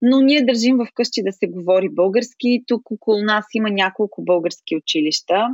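Against a quiet background, a woman talks at a moderate pace in a plain, everyday voice, her fairly high pitch carrying lively intonation in a dry, close sound with no echo. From Bulgaria, Smolyan. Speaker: expat interviewee. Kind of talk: interview.

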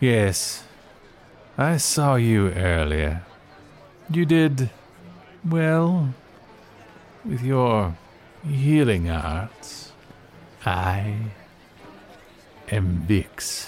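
A put-on character voice from a man, medium in pitch with very wide pitch swings, at a very slow pace with long, frequent pauses. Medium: audio drama. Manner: aloof, dry.

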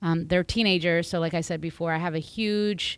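On a very clean recording with a silent background, a woman with an American accent speaks at a fairly low pitch and a moderate pace. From United States. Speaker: marriage and family therapist. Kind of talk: casual chat. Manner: halting.

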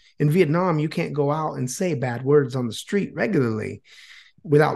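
Against a quiet background, a man with an American accent talks at a fairly quick pace and a fairly high pitch. His voice is somewhat breathy, with lively intonation. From Florida, US. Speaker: YouTuber and Vietnamese language teacher. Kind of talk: casual interview chat.

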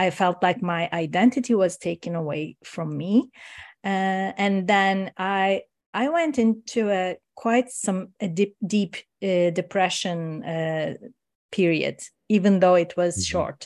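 A woman with a Turkish accent speaks at a fairly slow pace in a medium-pitched voice. Her pitch varies in an ordinary way against a quiet background. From Turkey. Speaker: coach and meditation teacher. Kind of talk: casual interview chat.

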